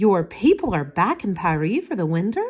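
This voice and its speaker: In a put-on character voice, a woman talks at a moderate pace with a gruff, medium-pitched tone and very wide pitch swings. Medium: read story. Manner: gruff, grumpy.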